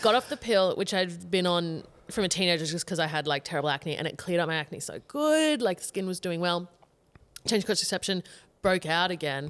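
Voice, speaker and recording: A woman with an Australian accent, fairly low in pitch, with ordinary pitch variation and a fairly quick pace on a very clean recording with a silent background. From Queensland, Australia. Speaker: comedian. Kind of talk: casual chat. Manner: animated.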